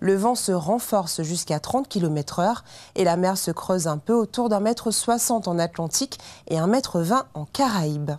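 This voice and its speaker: At a fairly slow pace, this voice carries a dark, mellow tone and lively intonation. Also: woman. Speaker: weather presenter. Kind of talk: TV weather forecast, scripted and read to camera. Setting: TV studio. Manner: formal, measured and even, clear professional delivery. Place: studio. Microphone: lapel.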